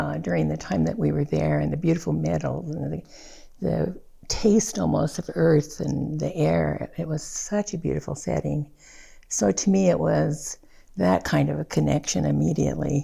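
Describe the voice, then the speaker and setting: Noticeable background noise sits behind this woman. She keeps to a moderate pace. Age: 80s+. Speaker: podcast guest. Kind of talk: casual chat. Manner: halting.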